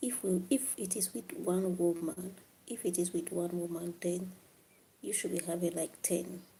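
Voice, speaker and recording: A woman speaks quietly at a fairly slow pace, her voice somewhat breathy. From Africa. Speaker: livestreamer. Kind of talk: live stream chat with viewers. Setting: late-night live stream. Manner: quiet, low volume.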